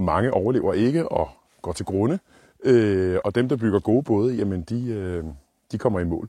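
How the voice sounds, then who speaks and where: Over a very clean recording with a silent background, a man speaks at a moderate pace with a dark, mellow tone and fairly low pitch. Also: lively intonation. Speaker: outdoor YouTuber, scout. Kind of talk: vlog monologue. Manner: hesitant, many filler sounds.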